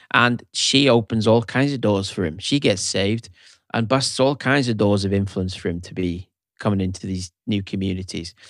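With an unremarkable speaking voice, a man talks at a fairly low pitch and moderate pace, with ordinary pitch variation, on a very clean recording with a silent background. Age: 40s. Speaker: pastor and songwriter. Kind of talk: casual chat.

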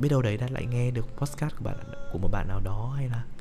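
Somewhat breathy, the voice carries a dark, mellow tone. It moves at a fairly quick pace with ordinary pitch variation. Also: man. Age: 20s. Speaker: podcaster. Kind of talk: personal monologue. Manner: halting.

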